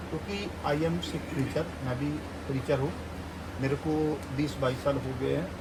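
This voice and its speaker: With noticeable background noise behind him, a man with a Punjabi accent speaks in very wide pitch swings. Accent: Punjabi-accented Hindi. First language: Punjabi (speaking Hindi). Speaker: preacher and video reporter. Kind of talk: field interview and address to viewers.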